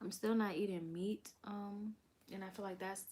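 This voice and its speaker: A soft-spoken voice in an American accent, with fairly even intonation. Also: woman. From Delaware, US. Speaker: vlogger. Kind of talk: casual chat. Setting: live stream.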